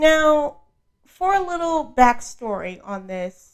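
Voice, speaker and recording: Soft-spoken and high-pitched, a woman with an American accent shows very wide pitch swings in a very clean recording with a silent background. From New York City (Brooklyn). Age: 20s. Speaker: podcast host. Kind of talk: casual monologue. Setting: audio-only podcast recording.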